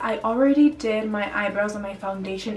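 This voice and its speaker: Noticeable background noise sits behind a woman talking at a very fast pace. Her voice is fairly high, with ordinary pitch variation. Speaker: beauty vlogger. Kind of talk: makeup tutorial. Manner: casual, chatty.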